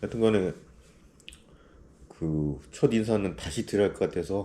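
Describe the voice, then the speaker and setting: Vocal fry colors this man's dark, mellow tone, and his intonation is lively. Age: 50s. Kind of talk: casual greeting to camera.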